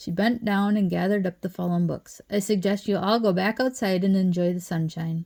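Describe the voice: Fairly even intonation in plain reading aloud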